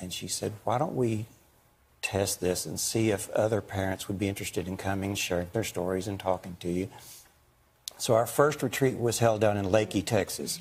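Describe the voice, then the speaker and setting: Somewhat breathy man at a moderate pace, fairly low in pitch with ordinary pitch variation. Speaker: guest. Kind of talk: interview answer. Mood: warm, fond storytelling. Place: studio. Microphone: lapel.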